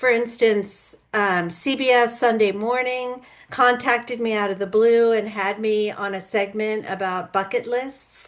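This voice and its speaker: A woman's plain, everyday voice, fairly high-pitched, at a fairly slow pace with fairly even intonation. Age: 60s. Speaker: author and public speaker. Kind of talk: interview conversation.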